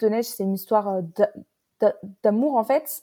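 A fairly high-pitched woman's voice with ordinary pitch variation. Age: 20s. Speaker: novelist. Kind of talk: interview. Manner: halting, many repetitions and fillers.

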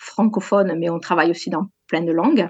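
A woman's medium-pitched voice at a moderate pace, dry and close with no echo. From southwest France, Gers. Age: 40s. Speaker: sports journalist. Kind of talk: interview.

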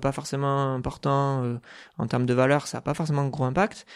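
This man's fairly high voice comes through on a very clean recording with a silent background. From southwest France (Dordogne, Bergerac). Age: 30s. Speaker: accountant and company founder. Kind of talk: podcast interview. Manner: hesitant, many filler sounds.

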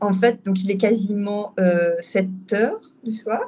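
Delivered very slowly, the speech is somewhat breathy and monotone, with flat intonation. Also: woman. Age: 30s. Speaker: doula. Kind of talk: testimony. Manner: halting.

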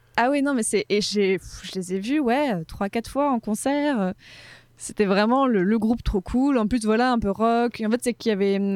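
This woman has a normal speaking voice, fairly high in pitch with ordinary variation, delivered at a moderate pace with very even loudness. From Morocco, Casablanca. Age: 20s. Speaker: history podcaster. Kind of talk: casual chat.

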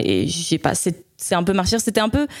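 On a very clean recording over a silent background, a woman speaks. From Spain. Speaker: jazz saxophonist. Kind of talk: interview. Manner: halting.

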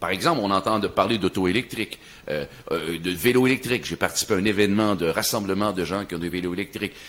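Man at a fairly low pitch talking at a very fast pace, with ordinary pitch variation. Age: 60s. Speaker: podcast host. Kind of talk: casual chat.

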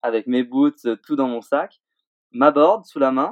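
The man's speech moves at a fairly slow pace. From Réunion, then Switzerland from age 10. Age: 20s. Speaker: pro snowboarder. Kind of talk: interview. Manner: halting.

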